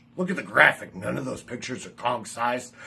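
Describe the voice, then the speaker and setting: A man's intonation is lively, and noticeable background noise sits behind him. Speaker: pro wrestler and manager. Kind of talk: wrestling promo.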